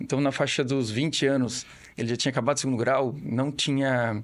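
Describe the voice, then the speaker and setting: A man with a Florianópolis accent at a moderate pace, fairly even in intonation, against a quiet background. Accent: Florianópolis manezinho. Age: 40s. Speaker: family business owner. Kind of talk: podcast interview. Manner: halting, with repetitions.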